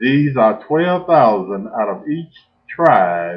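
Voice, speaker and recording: Moving at a very slow pace, a man speaks with very wide pitch swings. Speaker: minister. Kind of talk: sermon.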